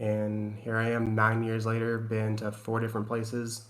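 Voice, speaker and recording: This man has a Southern US accent and talks at a moderate pace. Audible room echo surrounds the recording. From Tennessee. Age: 30s. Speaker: navy sailor and streamer. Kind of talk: casual chat.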